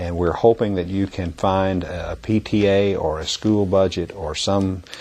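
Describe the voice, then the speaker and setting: A man's very deep, low voice holds a monotone, flat intonation at a fairly slow pace. Noticeable background noise is heard. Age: 60s. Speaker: music education trainer. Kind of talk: instructional talk to teachers. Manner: halting, many fillers and repetitions.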